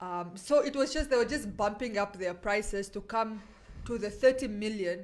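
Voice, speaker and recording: A woman's fairly high-pitched, plain, everyday voice with ordinary pitch variation. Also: moderate pace. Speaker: radio host. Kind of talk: casual radio chat.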